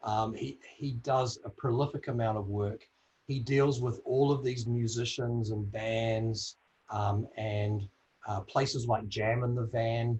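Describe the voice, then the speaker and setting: The voice is somewhat breathy, in a New Zealand accent. It moves at a fairly slow pace with fairly even intonation. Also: man, medium pitch for a man. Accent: New Zealand accent, called funny by self. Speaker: audio industry executive on a career panel. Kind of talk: panel discussion.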